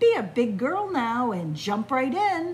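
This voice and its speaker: Over clear background noise, a woman puts on a character voice, pitched high with very wide swings, at a fairly slow pace. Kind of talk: reading a picture book aloud to children. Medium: read story. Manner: bright, coaxing. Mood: coaxing.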